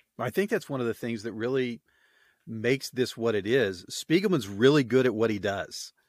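A normal speaking voice in an American accent, with ordinary pitch variation at a moderate pace. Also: man, medium pitch for a man. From Oklahoma. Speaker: podcast host. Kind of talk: casual chat. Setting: video call.

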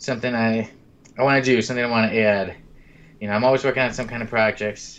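The speech runs at a very fast pace yet breaks into long, frequent pauses, all in a monotone, flat intonation. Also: man, medium pitch for a man. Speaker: podcast host. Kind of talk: casual chat.

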